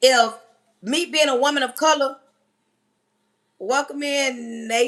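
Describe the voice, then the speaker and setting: Loud and very slow, a woman speaks in a high voice. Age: 40s. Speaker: livestream host and teacher. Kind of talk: casual livestream talk. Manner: animated.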